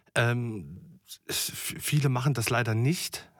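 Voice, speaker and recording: A man's medium-pitched voice comes through somewhat breathy. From Germany, Thuringia. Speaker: chef. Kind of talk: interview. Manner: hesitant, many fillers.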